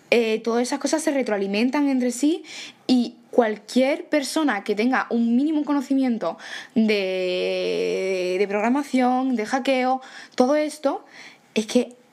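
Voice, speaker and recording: A woman speaks at a very slow pace. Her voice is high, with ordinary pitch variation. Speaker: podcast host. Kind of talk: casual chat.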